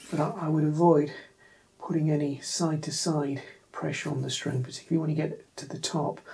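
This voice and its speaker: The voice is quiet. It moves at a fairly quick pace. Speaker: guitar tutorial youtuber. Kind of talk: tutorial. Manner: quiet, keeping voice down; hesitant with fillers. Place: home room. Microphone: camera far.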